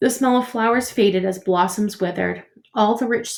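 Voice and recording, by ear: Someone reading aloud in a natural voice, with ordinary pitch variation.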